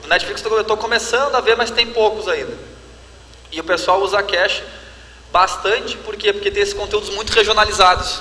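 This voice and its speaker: Over noticeable background noise, a man with a southern Brazilian accent projects a raised, high-pitched voice at a fairly quick pace, his intonation fairly even and his speech broken by long, frequent pauses. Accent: southern Brazilian (gaúcho) Portuguese. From Rio Grande do Sul, Brazil. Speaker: tech company representative. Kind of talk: Q&A panel at conference.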